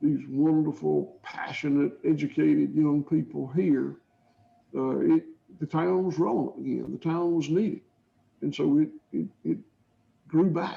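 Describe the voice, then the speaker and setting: A man with a Georgia accent talks at a fairly slow pace. His speech is broken by long, frequent pauses. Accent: southern US (Georgia). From US South, south Georgia. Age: 60s. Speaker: cattle farmer. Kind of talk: interview answers. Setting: video call. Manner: halting, repetitive.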